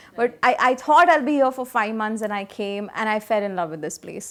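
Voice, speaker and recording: A woman is talking. She uses lively intonation. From India, Karnataka. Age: young. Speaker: radio jockey. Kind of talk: interview answer.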